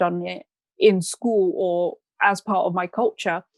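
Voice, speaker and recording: A woman speaks with a British accent at a medium pitch. Her pitch varies in an ordinary way on a very clean recording with a silent background. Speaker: mindset coach. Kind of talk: podcast interview.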